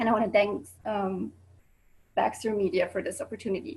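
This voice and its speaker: A woman speaks with a Swiss accent. Her pace is moderate. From Switzerland. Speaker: student presenter. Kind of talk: presentation. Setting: video call.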